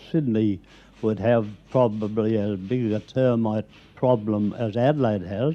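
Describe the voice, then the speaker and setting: An Australian accent comes through. The delivery is fairly slow. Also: man. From South Australia. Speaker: pest controller and former rat catcher. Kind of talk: radio interview answer. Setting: recorded at home.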